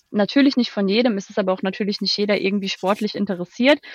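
A woman speaks very fast at a medium pitch with ordinary pitch variation. The sound is dry and close with no echo, against a quiet background. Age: 20s. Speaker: HR consultant. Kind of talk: interview. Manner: hesitant, many filler sounds.

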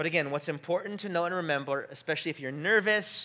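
Bright and sharp in tone, a man's raised, projected voice comes through a very clean recording with a silent background. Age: 30s. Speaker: pastor. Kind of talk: sermon. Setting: church service with congregation. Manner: casual, conversational with fillers.

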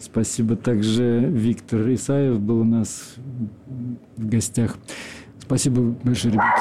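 Over noticeable background noise, a man with a medium pitch talks at a very slow pace in a flat monotone, leaving long, frequent pauses. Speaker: radio host. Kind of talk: radio show hosting and interview. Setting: studio.

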